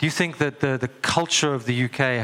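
Fairly quick and fairly even in intonation, a man's speech comes through noticeable background noise. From South Africa. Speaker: workshop moderator. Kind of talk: interview on stage.

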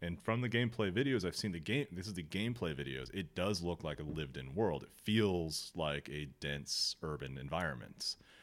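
Speaking at a moderate pace with hardly any pauses, a man with a very deep, low voice and vocal fry uses lively intonation, captured in a very clean recording with a silent background. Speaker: podcast host. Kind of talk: casual chat.

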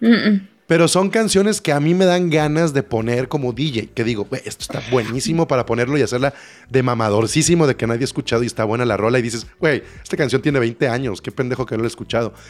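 Talking at a very fast pace, a man speaks with lively intonation. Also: medium pitch for a man. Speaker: podcast co-host. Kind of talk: casual chat.

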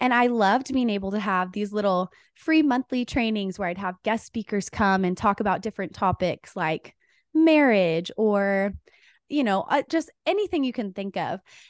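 A woman with a normal speaking voice, medium pitch, lively intonation and an American accent, sounding dry and close with no echo against a quiet background. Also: moderate pace. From Texas, Dallas-Fort Worth. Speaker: author and women's coach, podcast host. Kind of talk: interview.

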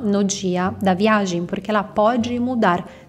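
At a fairly slow pace, the speaker talks with an Italian accent and ordinary pitch variation. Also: woman. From northern Italy, Bergamo. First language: Italian (speaking Portuguese). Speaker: Italian language teacher. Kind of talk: tutorial.

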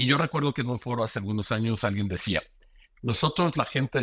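An unremarkable speaking voice belongs to a man talking at a fairly quick pace with ordinary pitch variation. The sound is dry and close with no echo, over a quiet background. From Mexico. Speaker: bank security executive. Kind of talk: casual interview.

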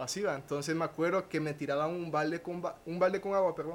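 Fairly quick and fairly even in intonation, a man talks in an unremarkable speaking voice. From Honduras. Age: 20s. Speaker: professional dancer. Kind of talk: testimony.

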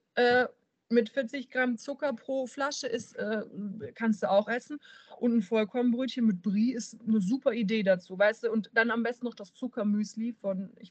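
A woman with a slight southern German accent speaks at a moderate pace, somewhat breathy and fairly high in pitch. Her pitch varies in an ordinary way, while her loudness swings a lot. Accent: slight southern German, rolled R when excited. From Bavaria, near Munich. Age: 30s. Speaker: fitness entrepreneur and student. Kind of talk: casual podcast conversation.

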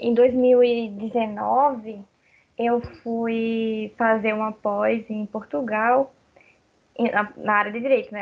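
Pausing long and often, a woman speaks at a fairly high pitch with a monotone, flat intonation. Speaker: lawyer and graphic designer. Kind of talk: casual chat.

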